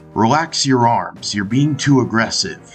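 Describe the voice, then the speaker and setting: Using a cartoonish character voice, a man speaks at a moderate pace in a medium pitch, with faint music in the background. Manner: calm, firm.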